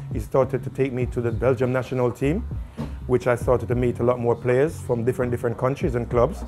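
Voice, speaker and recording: Over music in the background, the speech runs at a very fast pace with monotone, flat intonation. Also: man, medium pitch for a man. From Jamaica. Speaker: barber. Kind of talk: interview. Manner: hesitant, with fillers and repetitions.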